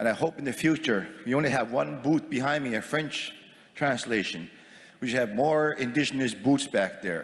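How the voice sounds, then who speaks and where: In a Maritime Canadian accent, a man with vocal fry speaks at a moderate pace. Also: medium pitch for a man, ordinary pitch variation. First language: Mi'kmaq. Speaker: First Nations chief. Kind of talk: formal assembly speech. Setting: assembly floor microphone with interpretation booths.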